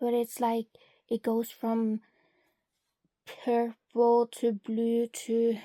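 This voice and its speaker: Very slow and monotone, a woman with a non-native accent speaks at a fairly high pitch in a dark, mellow tone, the sound dry and close with no echo. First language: not English. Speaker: beauty content creator. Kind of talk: product swatching tutorial.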